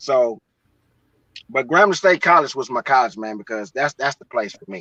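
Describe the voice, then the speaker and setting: A man with an American accent at medium pitch, bright and sharp in tone, with lively intonation and big swings in loudness, at a moderate pace in a dry, close sound with no echo. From western Louisiana. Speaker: podcast host. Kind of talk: casual chat. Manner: clear, proper enunciation.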